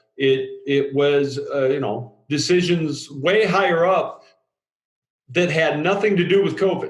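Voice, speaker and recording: Against audible room echo, a man with a fairly high voice speaks at a fairly slow pace with ordinary pitch variation. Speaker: drilling industry safety writer. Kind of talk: podcast discussion. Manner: loud.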